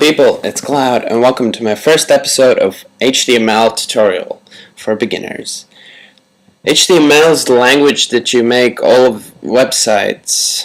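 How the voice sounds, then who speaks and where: A man in a Latvian accent speaks at a moderate pace and a medium pitch with ordinary pitch variation. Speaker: tutorial creator. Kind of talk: tutorial.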